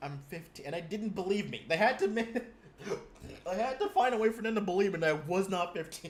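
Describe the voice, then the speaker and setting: Against noticeable background noise, a man talks very fast in a high voice with ordinary pitch variation. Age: 20s. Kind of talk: casual chat. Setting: video call. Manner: halting.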